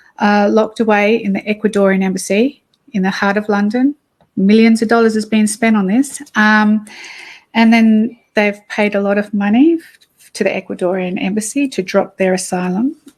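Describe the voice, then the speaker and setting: Somewhat breathy delivery in an Australian accent, at a moderate pace with fairly even intonation. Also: woman, fairly high pitch for a woman. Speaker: activist. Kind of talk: interview. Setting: cafe, livestream. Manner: hesitant, many fillers.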